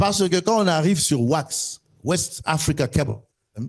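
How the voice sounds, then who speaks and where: A man's voice with vocal fry against a quiet background. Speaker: telecom panel expert. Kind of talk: panel discussion. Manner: fast; animated.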